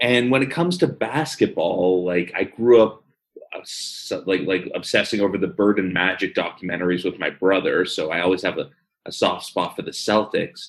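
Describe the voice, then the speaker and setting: A man speaks at a moderate pace with a slight Philadelphia accent. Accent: slight Philadelphia-area. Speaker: podcast co-host. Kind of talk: casual chat.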